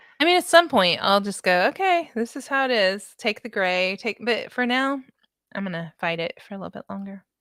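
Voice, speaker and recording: A woman with a fairly high pitch talks at a fairly quick pace in an animated, bright, sharp tone, her pitch swinging very widely. Her loudness swings a lot, and the sound is dry and close with no echo. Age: 50s. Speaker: reseller YouTuber. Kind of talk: casual chat. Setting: live stream video call.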